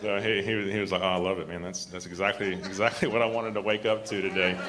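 Over noticeable background noise and audible room echo, a man talks at a very fast pace in a fairly low pitch with monotone, flat intonation. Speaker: preacher / Bible teacher. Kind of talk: sermon. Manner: halting, repetitive.

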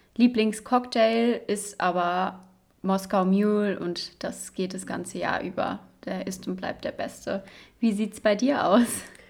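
Very slowly, a woman speaks with fairly even intonation. Her pitch sits in the medium range. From western Germany, Cologne. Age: 20s. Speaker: medical student, podcast co-host. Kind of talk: casual chat.

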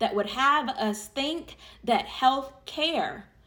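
Raised and projected, the voice moves at a very slow pace with ordinary pitch variation. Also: woman. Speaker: prayer leader. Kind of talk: fervent public prayer, earnest and rhythmic with repeated phrases. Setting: online audio session for listeners. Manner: conversational and warm when addressing listeners.

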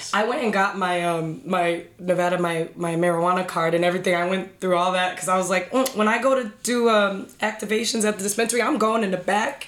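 Over noticeable background noise, a woman talks at a very fast pace with hardly any pauses, at a medium pitch with ordinary pitch variation. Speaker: cannabis industry professional. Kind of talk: casual podcast chat.

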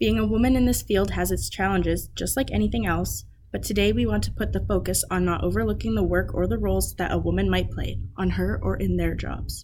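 Fairly brisk speech from a woman, with room echo clearly heard. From northern British Columbia. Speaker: podcast host, agriculture student. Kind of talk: scripted narration.

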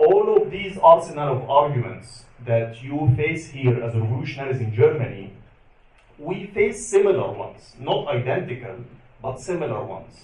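A man with an Arabic accent and a fairly high pitch, very wide pitch swings, big swings in loudness and a moderate pace. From Egypt. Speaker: activist and journalist. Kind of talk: panel talk. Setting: stage with audience.

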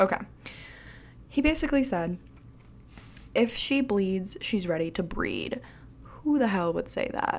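A medium-pitched woman with an American accent uses very wide pitch swings and vocal fry, pausing long and often. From Michigan, US Midwest. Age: 20s. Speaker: podcast host. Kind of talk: casual monologue. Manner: rambling, hesitant.

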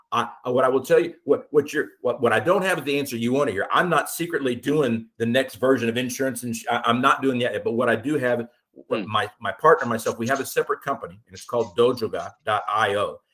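In an American accent and an ordinary speaking voice, the speaker goes at a fairly quick pace with hardly any pauses, ordinary pitch variation and big swings in loudness. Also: man, medium pitch for a man. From Austin, Texas. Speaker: insurance broker. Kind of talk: interview. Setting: remote call.

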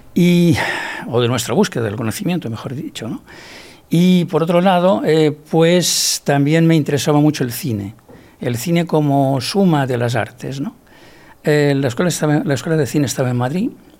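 With noticeable background noise behind him, a man talks with lively intonation at a fairly high pitch. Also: moderate pace. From Barcelona area, Catalonia, Spain. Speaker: architect and researcher. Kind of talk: interview. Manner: halting, repeats words.

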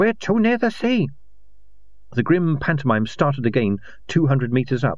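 A man talks at a moderate pace in a somewhat breathy voice with very wide pitch swings. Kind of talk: literary audiobook narration of a fantasy novel. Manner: formal, even narration.

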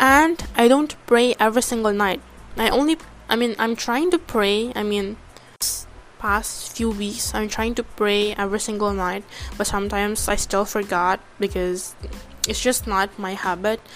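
Speaking with an Indonesian accent, a woman keeps a moderate pace. Her pitch is fairly high, with ordinary variation. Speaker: podcaster. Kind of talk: casual monologue. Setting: home recording. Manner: halting; filler-heavy.

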